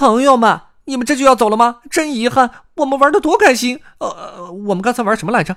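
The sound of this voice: Using a put-on character voice, a man speaks at an extremely high pitch with a fairly bright tone, lively intonation and a fairly quick pace, in a very clean recording with a silent background.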